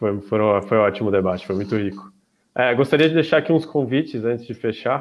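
An ordinary speaking voice from a man, with ordinary pitch variation at a fairly quick pace. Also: medium pitch for a man. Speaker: student event organizer; student event host. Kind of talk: event opening and closing. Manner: formal. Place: home room.

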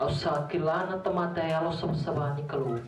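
This man talks at a fairly quick pace. Audible room echo and light background noise accompany his voice. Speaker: scripture reader. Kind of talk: reading aloud. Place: church.

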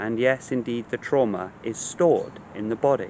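A man talks in a soothing tone at a medium pitch with fairly even intonation. The sound is dry with no echo, and there is light background noise. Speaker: meditation teacher. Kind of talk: guided meditation, gentle spoken instruction to a listener. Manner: slow, soothing, compassionate cadence with repeated calming phrases; hesitant in places, repeating words mid-thought. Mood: calm, gentle, soothing. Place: garden. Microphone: phone near.

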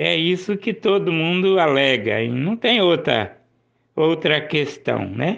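A man speaks at a very slow pace with vocal fry. His pitch swings very widely while his loudness stays very even. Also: fairly high pitch for a man. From Paraná, Brazil (Maringá). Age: 50s. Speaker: local news presenter. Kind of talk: news commentary show.

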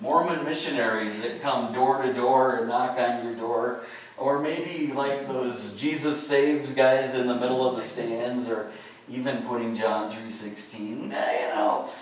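A man at a fairly slow pace with fairly even intonation, strong room echo and light background noise. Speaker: pastor. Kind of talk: sermon. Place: church.

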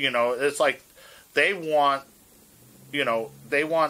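A man speaks with a New York accent at a fairly slow pace. His tone is bright and sharp, with light background noise. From New York City, Manhattan; New York City. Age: 50s. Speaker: hardcore guitarist; interviewee. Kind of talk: oral history interview; interview answer. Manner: casual, halting with many fillers.

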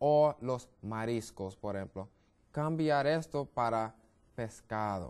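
Very slow delivery from a man with an American accent and lively intonation. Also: quiet background. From US, Brooklyn, New York; New York. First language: English (speaking Spanish). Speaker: medical missionary, health educator; guest. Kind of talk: TV health interview; interview answer. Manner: halting, many fillers and repetitions. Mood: friendly, smiling, explanatory. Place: studio. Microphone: lapel.

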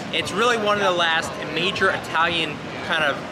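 A man speaks over loud background noise. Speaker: tour guide. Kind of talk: tour guide commentary. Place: street.

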